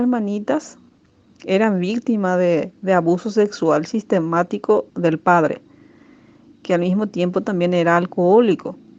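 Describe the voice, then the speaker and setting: A woman talks at a fairly slow pace with ordinary pitch variation. She has an unremarkable speaking voice. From Paraguay. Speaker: teacher. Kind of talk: radio program testimony.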